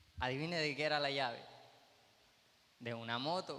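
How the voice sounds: With a fairly bright tone, a man speaks with ordinary pitch variation.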